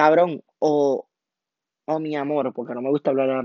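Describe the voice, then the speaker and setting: The speaker is a man. His pitch is fairly high. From Puerto Rico (Toa Baja / Cataño). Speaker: podcaster. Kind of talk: casual monologue. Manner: animated.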